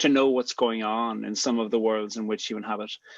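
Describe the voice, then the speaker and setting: A man is speaking. He has an Irish accent. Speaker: poet and theologian, theme speaker. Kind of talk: talk to a gathering. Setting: video call.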